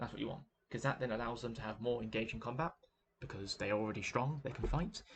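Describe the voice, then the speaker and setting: Ordinary variation in pitch, paired with a somewhat breathy quality. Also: man. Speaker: gaming video creator. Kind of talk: game commentary monologue. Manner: halting, many fillers and repetitions.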